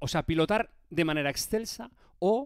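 A man's animated voice with very wide pitch swings at a fairly slow pace, dry with no echo over a quiet background. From Spain. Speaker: motorsport presenter and streamer; presenter, streamer. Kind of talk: live-stream interview. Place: home room. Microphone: headset.

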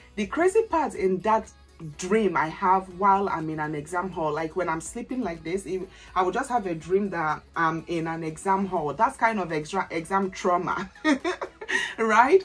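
Faint music plays in the background. A woman talks at a moderate pace with ordinary pitch variation. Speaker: lifestyle vlogger. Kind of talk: casual vlog chat. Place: home room. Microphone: camera far.

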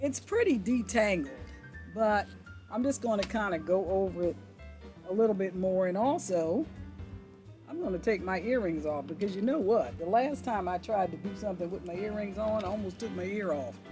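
Clear music plays in the background as a woman speaks with ordinary pitch variation. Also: moderate pace. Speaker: hair vlogger. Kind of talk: casual tutorial vlog chat. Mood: relaxed, lightly humorous. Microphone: phone near.

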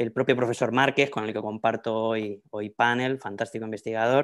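A man's medium-pitched voice in a Madrid accent, with fairly even intonation and a quiet background. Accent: Spanish from Spain (Madrid). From Spain, Madrid. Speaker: academic researcher; panelist. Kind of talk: lecture. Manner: halting, with fillers and repetitions. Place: home room. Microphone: earbuds.

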